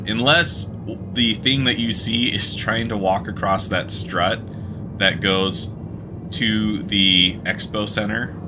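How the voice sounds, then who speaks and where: A man speaks with a slight Utah accent. The recording has audible room echo and noticeable background noise. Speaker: video game streamer. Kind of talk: live gameplay commentary. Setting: live stream. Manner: casual, with frequent fillers and restarts.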